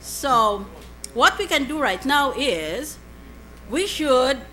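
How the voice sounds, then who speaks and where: There is noticeable background noise as a woman speaks in a high voice whose pitch swings very widely. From Philippines. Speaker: senator. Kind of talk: Senate hearing speech.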